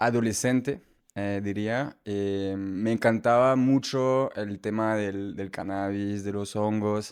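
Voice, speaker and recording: Very slowly, a man with a slight Colombian accent speaks at medium pitch with ordinary pitch variation, in a very clean recording with a silent background. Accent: slight Colombian tinge in Spanish. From France. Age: young. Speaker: medicinal mushroom entrepreneur. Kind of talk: podcast interview. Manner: halting, many repetitions and fillers.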